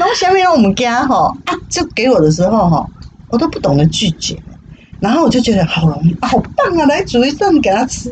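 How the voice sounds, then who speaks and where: Over noticeable background noise, a woman with a high voice talks fairly quickly in an animated tone, her pitch swinging very widely. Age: 60s. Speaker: retiree working at senior cafe. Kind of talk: casual interview chat. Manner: animated, frequent laughter.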